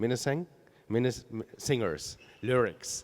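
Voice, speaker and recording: With a German accent, a man of medium pitch talks at a moderate pace using lively intonation. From Germany. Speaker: art curator. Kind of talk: on-stage conversation. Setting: stage with audience.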